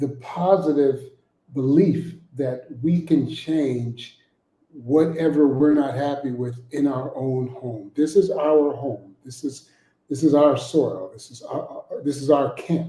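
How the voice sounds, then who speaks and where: A man with a fairly high pitch and a dark, mellow tone sounds somewhat breathy, speaking at a very slow pace with ordinary pitch variation and big swings in loudness. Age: 50s. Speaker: guest speaker. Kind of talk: motivational talk. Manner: hesitant, many fillers.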